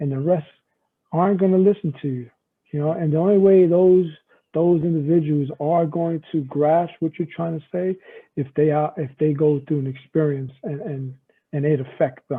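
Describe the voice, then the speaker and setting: A man at a moderate pace, fairly high in pitch, with fairly even intonation. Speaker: firefighter, former corrections officer. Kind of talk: casual interview conversation. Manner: loud.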